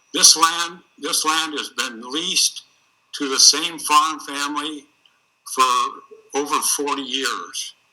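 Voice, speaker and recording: With a Midwestern US accent, a man speaks very slowly in a fairly high pitch, flat and monotone, leaving long, frequent pauses. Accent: US Midwest. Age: 80s+. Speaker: landowner witness. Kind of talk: testimony. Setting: video call. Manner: halting.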